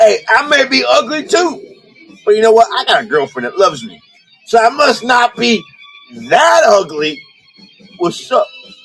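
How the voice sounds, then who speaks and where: Over background music, a man with an extremely high pitch speaks at a moderate pace, his pitch swinging very widely, with long, frequent pauses. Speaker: live-stream seller of collectible figures. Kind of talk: live-stream auction chat. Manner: loud; animated.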